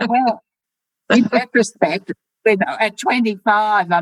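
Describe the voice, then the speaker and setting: A woman with an Australian accent, medium pitch and lively intonation, fairly slow, in a dry, close sound with no echo. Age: 80s+. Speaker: poet and artist. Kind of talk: interview. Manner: halting.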